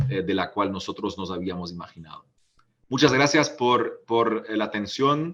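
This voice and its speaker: This man speaks with a German accent and ordinary pitch variation. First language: German (speaking Spanish). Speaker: politician. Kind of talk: panel talk. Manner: halting, many fillers.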